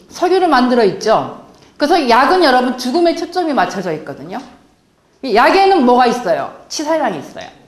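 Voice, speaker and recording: In a room with audible echo, a woman talks fairly quickly at a high pitch, her voice making very wide pitch swings. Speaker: health lecturer. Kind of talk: lecture.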